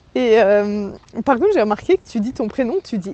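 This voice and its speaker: Noticeable noise sits behind the voice. Its intonation rises and falls in a lively way. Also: woman. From Switzerland. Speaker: listener and friend. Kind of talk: voice message. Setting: outdoors going shopping. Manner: animated.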